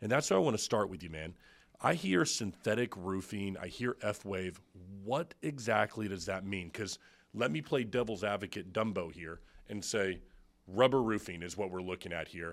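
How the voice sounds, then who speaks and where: A man with an American accent speaks at a moderate pace in a normal speaking voice, fairly low in pitch with ordinary pitch variation, on a very clean recording with a silent background. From Florida, Tampa Bay area. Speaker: podcast host. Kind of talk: casual interview chat. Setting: studio.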